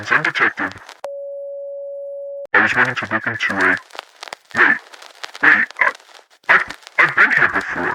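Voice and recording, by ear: Using a put-on character voice, a man makes big pitch swings in a bright, sharp tone with a slightly husky edge and long, frequent pauses. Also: medium pitch for a man, fairly slow pace.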